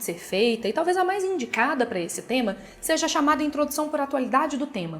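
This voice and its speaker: A woman's high-pitched voice with a Minas Gerais accent and very wide pitch swings, over music in the background. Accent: Minas Gerais Brazilian Portuguese. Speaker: essay-writing teacher. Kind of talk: tutorial. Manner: casual, direct address.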